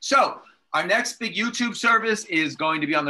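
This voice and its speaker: The intonation is lively and the pace moderate, with a bright, sharp tone. The background is quiet. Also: man. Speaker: church leader hosting the meeting. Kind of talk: casual announcements. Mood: upbeat, laughing. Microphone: video call.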